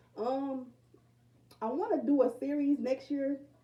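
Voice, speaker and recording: A woman is talking while noticeable background noise fills the recording. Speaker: spiritual reader. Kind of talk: casual monologue. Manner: halting, many fillers.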